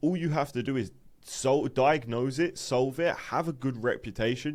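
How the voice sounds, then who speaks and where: A British accent in a very clean recording with a silent background. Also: man. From UK. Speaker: online business coach. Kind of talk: lecture. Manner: casual, filler-heavy.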